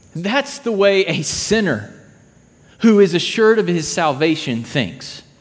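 Against noticeable background noise and audible room echo, a man with a high-pitched voice talks at a fairly slow pace with very wide pitch swings. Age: 30s. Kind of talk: sermon.

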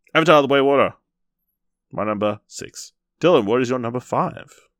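Recorded very cleanly with a silent background and a dry, close sound with no echo, a man speaks at a medium pitch and a fairly quick pace, with very wide pitch swings and vocal fry. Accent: Australian. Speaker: podcast host. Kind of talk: casual discussion.

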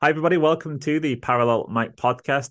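A man with an English accent at a moderate pace. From England. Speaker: podcast host. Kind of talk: casual chat; scripted intro.

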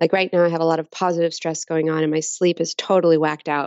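A woman uses a plain, everyday voice with an American accent. Her pitch is fairly low and her intonation fairly even. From Texas. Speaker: designer, author and painter. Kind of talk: interview.

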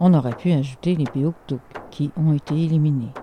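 Somewhat breathy and slow-paced, a woman speaks in a very deep, low pitch with a dark, mellow tone and a Quebec accent. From Lower North Shore, Quebec. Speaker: storyteller and Inuit historian. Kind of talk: storytelling.

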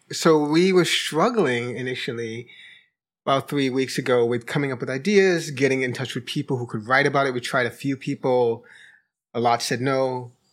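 A man with a New York accent speaks at a moderate pace and medium pitch, with ordinary pitch variation. The recording is very clean, with a silent background. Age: 40s. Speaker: senior editor. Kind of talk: casual discussion. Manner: halting.

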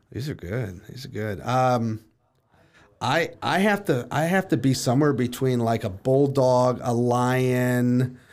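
An ordinary speaking voice at a fairly slow pace with ordinary pitch variation, in a very clean recording with a silent background. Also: man, medium pitch for a man. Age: 30s. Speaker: real estate team leader and coach. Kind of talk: casual interview.

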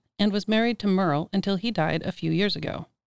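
With an American accent and lively intonation, a woman speaks at a medium pitch in a plain, everyday voice, the sound dry and close with no echo. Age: 50s. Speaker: podcast host. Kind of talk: scripted narration.

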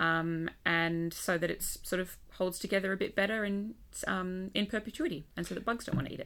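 This woman talks at a fairly quick pace with an Australian accent. Her pitch sits in the middle range and moves up and down by an ordinary amount. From Western Australia. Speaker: museum curator, paleontologist. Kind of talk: casual chat. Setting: studio at a university.

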